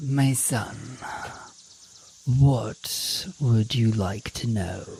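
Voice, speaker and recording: A put-on character voice from a man, medium in pitch with ordinary variation, at a very slow pace. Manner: gentle, fatherly.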